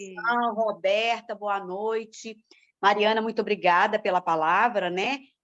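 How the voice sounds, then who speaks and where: This woman talks at a fairly slow pace and a medium pitch, with fairly even intonation. It is an unremarkable speaking voice. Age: 60s. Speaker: dance group participant. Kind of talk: casual chat.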